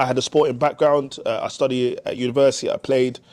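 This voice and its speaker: Music plays in the background as a man talks at a fairly quick pace. His pitch is fairly high and his intonation fairly even. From London. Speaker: youth basketball organisation founder. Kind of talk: podcast interview. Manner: halting, frequent fillers and repeats.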